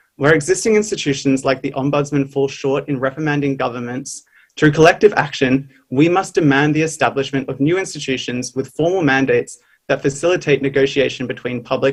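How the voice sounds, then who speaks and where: The voice is somewhat breathy, with an Australian accent and ordinary pitch variation. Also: man, fairly high pitch for a man, fairly quick pace. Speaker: youth climate activist speaker. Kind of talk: prepared speech. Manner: formal.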